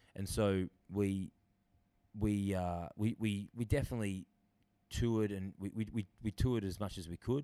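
In an Australian accent, the speaker keeps a fairly even intonation. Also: man. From Australia, Sydney. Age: 30s. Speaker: drummer. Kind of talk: casual chat.

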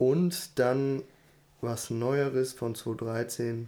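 A man speaks at medium pitch in a dark, mellow tone. His intonation stays fairly even. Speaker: podcast co-host. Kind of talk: casual chat.

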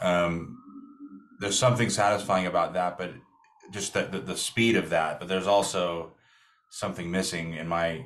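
Pausing long and often, a man speaks in a very deep, low voice with fairly even intonation. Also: moderate pace. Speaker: musician. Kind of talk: casual interview.

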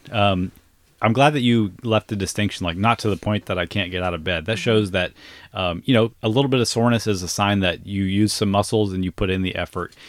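A plain, everyday voice: a man with an American accent, fairly low in pitch, fairly even in intonation and fairly quick in pace, in a dry, close sound with no echo on a very clean recording with a silent background. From US South. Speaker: fitness coach and podcast host. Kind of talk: casual chat. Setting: camper.

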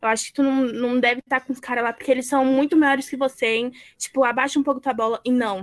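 Very fast speech from a woman with a high pitch and fairly even intonation, dry and close with no echo, in a very clean recording with a silent background. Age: young. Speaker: student event moderator. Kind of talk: live panel moderation.

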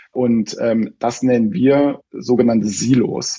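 His pitch rises and falls in an ordinary way. The man talks at a medium pitch. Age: 40s. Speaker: bank identity specialist. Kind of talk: interview. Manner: hesitant, many fillers.

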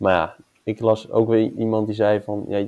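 Here a man speaks in a monotone, flat way with a fairly low pitch and a dark, mellow tone. The sound is dry and close, without echo. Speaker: podcast host. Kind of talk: casual chat.

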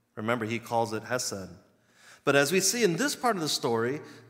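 Heard with audible room echo, a man with an American accent speaks at a medium pitch with lively intonation. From US East Coast, Virginia. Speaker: pastor. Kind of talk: sermon.

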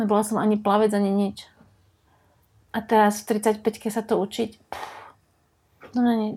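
The voice has a dark, mellow tone and monotone, flat intonation at a moderate pace, on a very clean recording with a silent background. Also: woman. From Slovakia. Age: 40s. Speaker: surfer. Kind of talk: casual chat.

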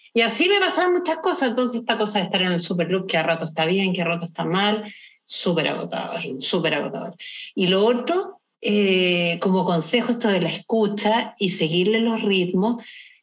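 This woman talks at a moderate pace. Her pitch is medium, with ordinary pitch variation. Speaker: podcast co-host. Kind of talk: casual chat.

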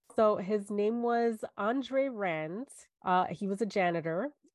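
A woman speaks with a New York accent, the sound dry and close with no echo. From New York, Staten Island. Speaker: podcast co-host. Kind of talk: casual chat, storytelling.

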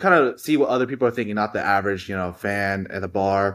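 A man with a plain, everyday voice, fairly low pitch and fairly even intonation, on a very clean recording with a silent background. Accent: American. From Houston, Texas. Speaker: basketball stats enthusiast. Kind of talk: casual chat.

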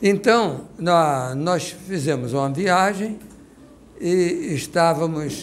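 A man talks at a very slow pace, his pitch fairly high and his intonation lively. There is audible room echo around him. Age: 80s+. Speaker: guest recounting a personal experience. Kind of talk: testimony. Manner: halting.

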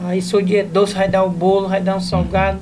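A man talks at a moderate pace with a high pitch, in a northeastern Brazilian accent. Noticeable background noise runs under the recording. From Ceará, Brazil. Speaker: comedian. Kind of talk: casual chat.

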